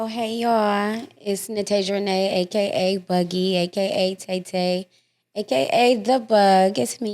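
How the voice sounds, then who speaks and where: A woman at a fairly slow pace, medium in pitch with ordinary pitch variation, music in the background. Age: 30s. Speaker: podcast guest sharing life story. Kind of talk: casual interview.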